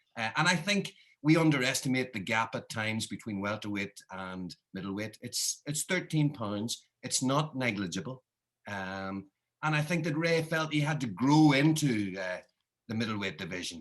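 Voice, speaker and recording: With a Northern Irish accent, a man speaks with very wide pitch swings. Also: medium pitch for a man, moderate pace. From Northern Ireland. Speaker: author. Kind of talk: interview. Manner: halting with fillers.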